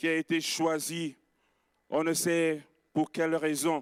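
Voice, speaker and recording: A man with a fairly high pitch speaks at a very slow pace, recorded very cleanly against a silent background with a dry, close sound and no echo. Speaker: pastor. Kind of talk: sermon. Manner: soft-spoken.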